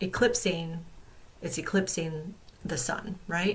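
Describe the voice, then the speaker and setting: A woman's somewhat breathy voice at a medium pitch, with ordinary pitch variation and a fairly slow pace. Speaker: astrology and tarot youtuber. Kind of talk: astrology forecast talk. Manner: halting, many fillers.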